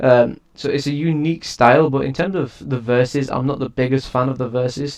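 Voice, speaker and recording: His pitch sits at a medium level. The man's intonation remains fairly even. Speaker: music reviewer and rapper. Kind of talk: casual review monologue. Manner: hesitant, many fillers.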